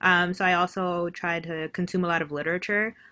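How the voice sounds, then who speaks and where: A woman with a fairly low pitch and a bright, sharp tone speaks over a silent background in a very clean recording. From New York City. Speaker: advertising professional. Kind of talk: casual interview chat.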